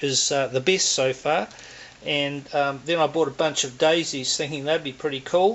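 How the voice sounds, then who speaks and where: Against noticeable background noise, a man with a fairly high pitch speaks at a moderate pace with fairly even intonation. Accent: New Zealand. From New Zealand. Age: 60s. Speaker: air rifle hobbyist reviewer. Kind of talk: casual product review. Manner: halting, many fillers.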